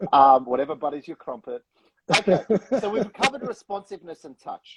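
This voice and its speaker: A man speaks at a fairly quick pace with a British accent. The sound is dry and close, with no echo. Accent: British-sounding. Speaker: real estate operations manager. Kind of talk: casual chat. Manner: animated.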